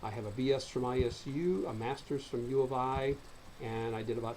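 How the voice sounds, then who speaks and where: A man with an American accent talks at a medium pitch, somewhat breathy. His intonation stays fairly even, and the room echo is audible. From US Midwest, central Illinois. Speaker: college lecturer. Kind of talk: recorded online course lecture. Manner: fast.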